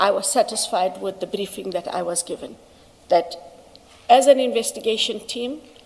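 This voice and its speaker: A woman speaks at a moderate pace in a fairly high pitch with lively intonation. Noticeable background noise is present. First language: not English. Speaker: witness, senior investigative official. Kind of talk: testimony under questioning. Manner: halting.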